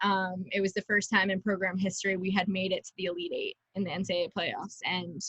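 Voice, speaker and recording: A woman's medium-pitched voice, bright and sharp in tone, at a very fast pace. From Long Island, New York. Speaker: lacrosse player. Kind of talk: interview. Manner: casual, many fillers.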